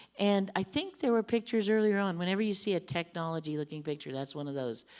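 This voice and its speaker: A woman's animated delivery is captured in a very clean recording with total silence behind it. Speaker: missionary. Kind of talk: church mission talk with slides. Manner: fast.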